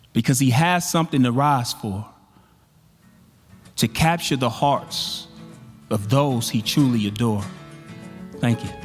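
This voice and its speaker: Over music in the background, a man speaks at a fairly slow pace and medium pitch, with lively intonation and long, frequent pauses. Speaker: spoken word poet. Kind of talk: spoken word performance. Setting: live conference stage. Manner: powerful, rhythmic.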